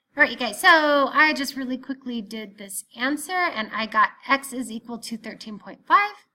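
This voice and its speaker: Projecting a raised voice, a woman speaks with a high pitch and lively intonation at a moderate pace. Her loudness swings widely, and she hardly pauses at all. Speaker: math teacher. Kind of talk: tutorial.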